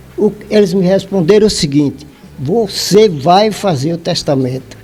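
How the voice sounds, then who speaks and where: A man's high voice at a fairly slow pace, with ordinary pitch variation and noticeable background noise. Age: 80s+. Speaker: Judas testament writer, former councilman. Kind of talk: interview answer.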